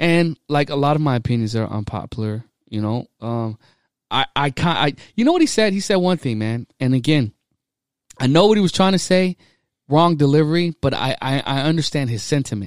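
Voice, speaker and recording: A man with an ordinary speaking voice talks at a fairly quick pace, his fairly high pitch carried by lively intonation. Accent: American. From small town Texas. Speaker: Navy sailor. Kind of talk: casual chat. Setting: studio.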